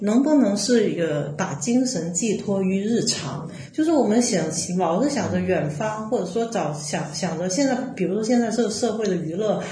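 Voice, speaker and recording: A woman's medium-pitched voice with a Cantonese accent, lively intonation and a moderate pace, amid audible room echo and noticeable background noise. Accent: Cantonese-accented Mandarin. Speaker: artist and curator. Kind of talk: casual chat.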